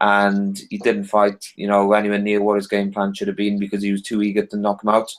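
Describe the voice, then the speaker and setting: A man with a Welsh accent and a fairly low voice talks fairly quickly in a monotone, flat delivery. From Wales. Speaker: boxing podcast panelist. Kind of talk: casual panel discussion.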